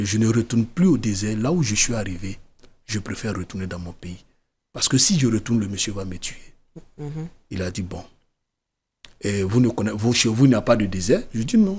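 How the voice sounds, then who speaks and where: A somewhat breathy man with fairly low pitch and ordinary pitch variation talks at a fairly quick pace, broken by long, frequent pauses. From Côte d'Ivoire. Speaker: writer, former migrant, NGO founder. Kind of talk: TV interview. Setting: TV studio. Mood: earnest, serious storytelling. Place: studio. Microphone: studio mic.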